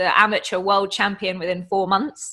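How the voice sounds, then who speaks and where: This is a woman's voice. She speaks with an English accent. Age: 30s. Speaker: online fitness coach and bodybuilder. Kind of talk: casual interview chat.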